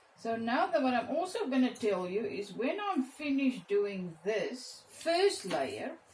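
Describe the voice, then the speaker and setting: Speaking at a fairly slow pace with hardly any pauses, a woman uses a high pitch and very wide pitch swings. Noticeable background noise can be heard. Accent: South African. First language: Afrikaans. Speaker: art teacher. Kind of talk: tutorial. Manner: halting.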